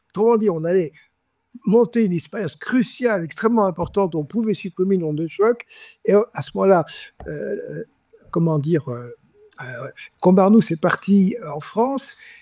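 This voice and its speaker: A man speaks at a high pitch and a moderate pace, with lively intonation and long, frequent pauses. The sound is dry and close, with no echo. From France. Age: 80s+. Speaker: scientist. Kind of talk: interview answer, anecdotal storytelling. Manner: casual, colloquial.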